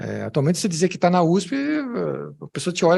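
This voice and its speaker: Somewhat breathy and full of very wide pitch swings, this voice comes with a São Paulo accent. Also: man. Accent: São Paulo (paulista). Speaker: music professor. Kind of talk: academic talk with Q&A. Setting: conference with audience. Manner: hesitant, many fillers and repetitions.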